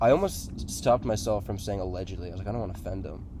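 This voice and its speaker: A man speaks in an American accent with a dark, mellow tone. His voice shows vocal fry, and the room echo is audible. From southeast Massachusetts. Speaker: paranormal video host. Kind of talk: casual chat. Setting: outdoors in a swamp at night. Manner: halting, many fillers.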